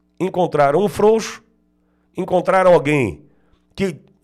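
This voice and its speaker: In an animated tone, a man talks at a high pitch and a moderate pace with ordinary pitch variation. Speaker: political commentator. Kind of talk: political commentary.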